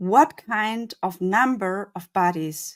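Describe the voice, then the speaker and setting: A woman speaks very slowly, with a non-native accent and lively intonation. Her pitch sits in the medium range. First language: not English. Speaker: conference speaker. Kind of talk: conference talk. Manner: halting.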